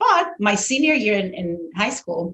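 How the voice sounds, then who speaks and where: A woman of medium pitch speaks at a moderate pace with a somewhat breathy voice and a Spanish accent. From Venezuela (Caracas). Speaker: orchestral violist. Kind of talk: interview conversation.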